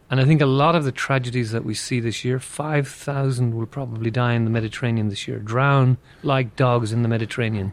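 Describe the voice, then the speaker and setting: With hardly any pauses and a fairly quick pace, a man with an American accent speaks at a medium pitch with fairly even intonation over noticeable background noise. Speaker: migration expert. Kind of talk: interview.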